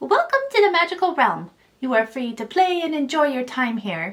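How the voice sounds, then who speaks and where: A woman's put-on character voice at a high pitch, with very wide pitch swings and a moderate pace. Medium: read story.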